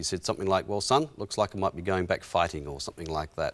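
Over a quiet background, a man with an Australian accent and a very deep, low voice talks very fast with lively intonation. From Western Australia, rural. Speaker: historian and author; interview guest. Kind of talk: interview, personal testimony. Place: studio. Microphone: lapel.

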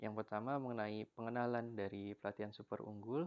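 Here is a man with a plain, everyday voice, pitched fairly low. His pace is fairly quick and his intonation fairly even. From Indonesia, Serang, Banten. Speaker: university student. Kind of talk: class presentation. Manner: formal.

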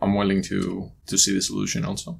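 A low male voice with vocal fry, a slightly mellow tone, a monotone, flat delivery, and a fairly quick pace.

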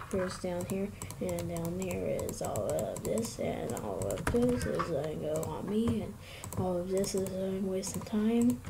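A woman speaks at a fairly slow pace. There is noticeable noise in the background. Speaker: gaming youtuber. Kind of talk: casual gameplay commentary. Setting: recorded gameplay voiceover. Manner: excitable, laughs often.

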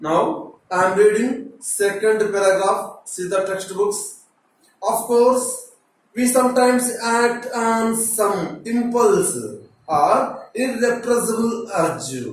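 A man talks at a very slow pace. Strong room echo surrounds his voice. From India, Telugu-speaking states. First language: Telugu. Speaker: teacher. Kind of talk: lecture. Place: classroom.

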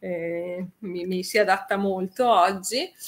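Bright and sharp in tone, a woman's voice moves with ordinary pitch variation. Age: 50s. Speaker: radio DJ. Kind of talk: casual chat. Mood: cheerful, joking. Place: home room.

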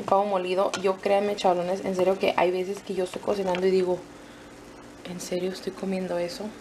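A woman talks at a fairly quick pace in a medium pitch. Noticeable background noise runs under her voice. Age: 20s. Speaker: family vlogger. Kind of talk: casual vlog talk to camera. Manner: animated.

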